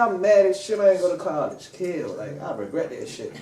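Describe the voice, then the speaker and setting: Moderately paced, a man's voice comes through. Audible room echo is on the recording. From Washington DC. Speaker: rapper. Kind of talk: interview.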